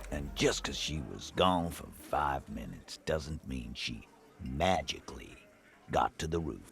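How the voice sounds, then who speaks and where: Over clear music in the background, a man uses a put-on character voice, very deep and low in pitch, with ordinary pitch variation. He talks at a fairly slow pace, with big swings in loudness. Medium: video game. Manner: brusque, coarse.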